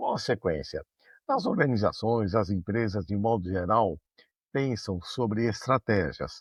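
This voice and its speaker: A man speaks at a fairly slow pace in a somewhat breathy voice. His pitch is medium, with ordinary variation. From Brazil, São Paulo city. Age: 60s. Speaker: management consultant and university professor. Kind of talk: interview.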